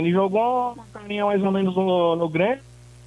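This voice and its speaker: A man with a high voice and ordinary rises and falls in pitch talks at a moderate rate. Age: 40s. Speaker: caller, football fan. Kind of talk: call-in.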